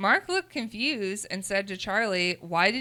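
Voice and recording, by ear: The intonation moves in a lively way. The text is read aloud in a natural voice.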